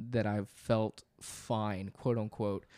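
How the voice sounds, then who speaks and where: Recorded very cleanly against a silent background, a man's dark, mellow voice comes through dry and close with no echo. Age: 20s. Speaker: podcast co-host. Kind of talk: casual chat.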